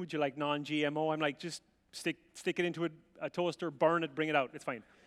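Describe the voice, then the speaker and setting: Speaking with an Irish accent, a man sounds animated at a fairly quick pace. The sound is dry and close, with no echo. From Ireland. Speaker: visiting preacher. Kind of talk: sermon. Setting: church with audience.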